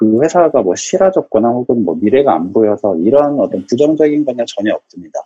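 With music in the background, the voice moves at a fairly quick pace with hardly any pauses and very wide pitch swings, in a dry, close sound with no echo. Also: man, medium pitch for a man. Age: 30s. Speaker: startup engineer. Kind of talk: casual interview chat.

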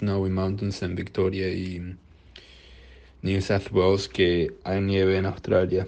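A man speaks in a very deep, low voice with a dark, mellow tone. His pace is fairly slow. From Uruguay. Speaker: listener sending voice message. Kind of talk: recorded voice message.

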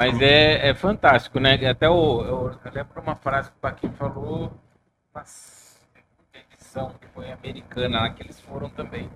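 Speaking at a moderate pace, a man has a normal speaking voice, fairly high in pitch, with ordinary pitch variation and big swings in loudness. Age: 40s. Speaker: podcast host. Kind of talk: casual chat. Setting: studio, live stream.

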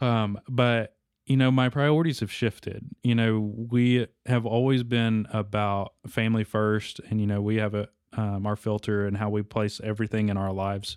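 The pitch of this man's voice is fairly low. He talks at a moderate pace. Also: fairly even intonation. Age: 20s. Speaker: gamer dad. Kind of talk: casual chat. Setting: studio.

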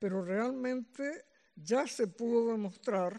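Very slow speech from a woman, fairly high in pitch and ordinary in its variation. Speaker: medical geneticist. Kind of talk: lecture.

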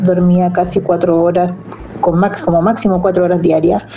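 Amid noticeable background noise and audible room echo, a woman talks at a medium pitch. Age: 40s. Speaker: amateur trail runner. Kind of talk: testimony.

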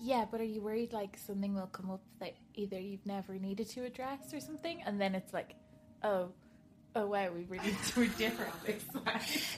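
A woman with an Irish accent, medium pitch, ordinary pitch variation and a moderate pace. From Ireland. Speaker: podcast guest, wedding blogger.

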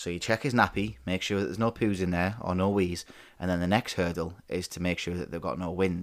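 A man with a very deep, low pitch and a northern English accent talks at a fairly quick pace in a very clean recording with a silent background. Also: fairly even intonation. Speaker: podcast host. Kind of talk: casual chat between spouses. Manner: casual, swears often.

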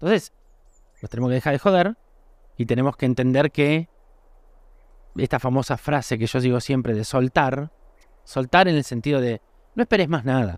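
In a Rioplatense accent, a man at a medium pitch speaks at a moderate pace with ordinary pitch variation and long, frequent pauses, the sound dry and close with no echo on a very clean recording with a silent background. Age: 40s. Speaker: podcast host. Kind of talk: reflective solo monologue. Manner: halting, with frequent repetitions; casual, conversational.

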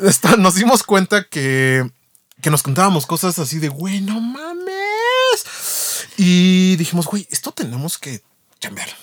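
Very slow in pace, a man with a high pitch speaks with lively intonation and big swings in loudness. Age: 30s. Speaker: podcast co-host. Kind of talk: casual chat.

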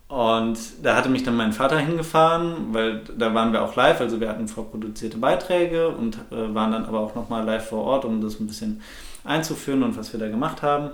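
Medium pitch from a man at a fairly quick pace with ordinary pitch variation, plus noticeable background noise and audible room echo. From Ruhr area, Germany (Bochum). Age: 20s. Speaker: podcast co-host. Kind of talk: casual chat. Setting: living room used as home studio.

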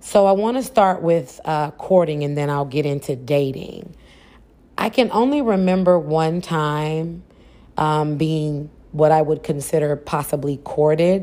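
Her voice is very deep and low with a dark, mellow tone, and the woman speaks at a fairly slow pace with ordinary pitch variation. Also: very clean recording, silent background. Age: 40s. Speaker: podcast host. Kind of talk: solo podcast monologue.

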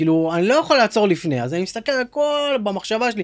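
A man's high voice with very wide pitch swings, on a very clean recording with a silent background. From Israel, Dimona then Kfar Yona. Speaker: startup founder and CEO, ex-soldier. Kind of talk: casual interview chat.

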